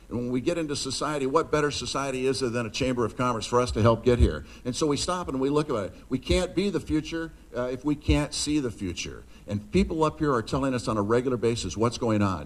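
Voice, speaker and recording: A man talks very fast with an American accent. His medium-pitched voice has lively intonation. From US Pacific Northwest. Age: 60s. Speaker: motivational speaker. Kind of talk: speech to a live audience. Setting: stage with audience. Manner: animated.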